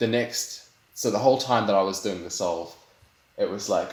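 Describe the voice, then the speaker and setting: A man's fairly low voice in a New Zealand accent, fairly quick in pace, with audible room echo. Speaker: speedcuber, world record holder. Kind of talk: interview. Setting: online voice call. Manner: animated, with many fillers and restarts.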